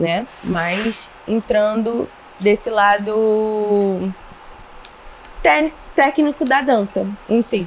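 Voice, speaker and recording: With noticeable background noise behind her, a woman talks at a fairly high pitch and a very slow pace, with ordinary pitch variation and long, frequent pauses. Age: 20s. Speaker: dance teacher and dancer. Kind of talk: casual interview.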